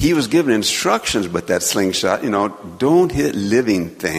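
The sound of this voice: An unforced reading voice is heard here.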